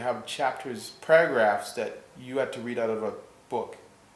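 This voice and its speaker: Over audible room echo, a man speaks fairly slowly with lively intonation. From Jamaica, Kingston; moved to Canada as a child. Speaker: health and wellness practitioner. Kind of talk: interview.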